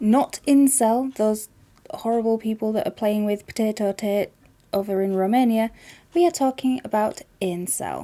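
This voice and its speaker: Speaking with a Yorkshire accent at a moderate pace, a woman has a fairly high pitch, a dark, mellow tone and ordinary pitch variation. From Yorkshire, England. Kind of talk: casual talk to camera.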